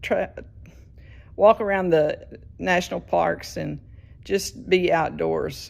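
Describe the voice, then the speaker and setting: This woman speaks with a Southern US accent. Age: 70s. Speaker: patient, retired teacher. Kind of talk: recorded video message. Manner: halting.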